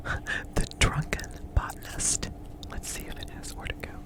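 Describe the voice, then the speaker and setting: Noticeable background noise under a woman's whisper, delivered fairly slowly. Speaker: ASMR creator and polymer clay artist. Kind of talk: ASMR show and share, casual talk to camera. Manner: whispered, soft-spoken.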